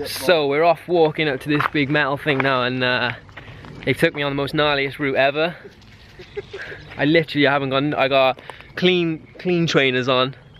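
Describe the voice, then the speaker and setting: Long, frequent pauses break up speech at a moderate pace. The sound is dry with no echo, over light background noise. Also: man. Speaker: vlogger. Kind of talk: casual vlog chat. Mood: jokey, light complaining. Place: forest. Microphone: phone near.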